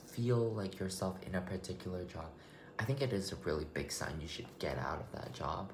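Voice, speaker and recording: Lively intonation from a man at a moderate pace, with audible room echo and noticeable background noise. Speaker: vlogger. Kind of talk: casual monologue. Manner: loud; halting, rambling delivery.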